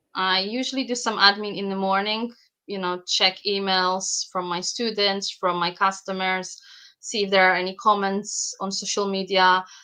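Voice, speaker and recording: Against a quiet background, a woman with a non-native accent speaks at a moderate pace and medium pitch, her tone bright and sharp and her intonation monotone and flat. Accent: noticeable foreign. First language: Polish. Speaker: bag pattern designer and sewing teacher. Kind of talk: podcast interview. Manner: some hesitations and repetitions.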